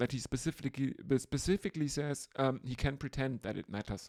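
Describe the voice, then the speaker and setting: A woman with a German accent speaks at a moderate pace in a very deep, low voice. The sound is dry and close, with no echo. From Germany. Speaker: podcast host. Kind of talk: casual chat.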